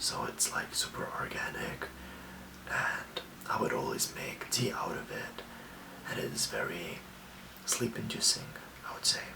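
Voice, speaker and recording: Whispering at a fairly slow pace, a man leaves long, frequent pauses over noticeable background noise. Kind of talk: ASMR self-care talk to camera. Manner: soft whisper, calming.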